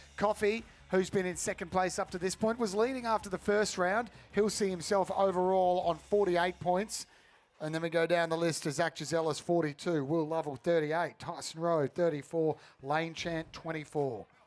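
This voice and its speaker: This man speaks with an Australian accent, his high voice showing ordinary pitch variation. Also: moderate pace, very clean recording, silent background. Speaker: sports commentator. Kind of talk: live commentary.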